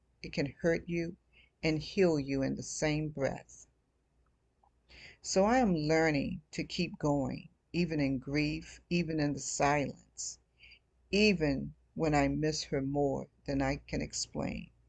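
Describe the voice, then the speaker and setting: Over a quiet background, a woman speaks at a very slow pace with long, frequent pauses, her pitch very deep and low with ordinary variation. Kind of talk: casual personal talk to camera. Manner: soft-spoken, reflective.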